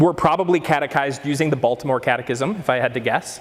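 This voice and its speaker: A man talks with lively intonation over noticeable background noise. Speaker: catechesis speaker. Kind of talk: lecture. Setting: breakout session with audience. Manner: loud.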